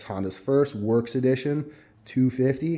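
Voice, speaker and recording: The man's tone is dark and mellow. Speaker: dirt bike vlogger. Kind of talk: casual product walkthrough. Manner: fast; animated.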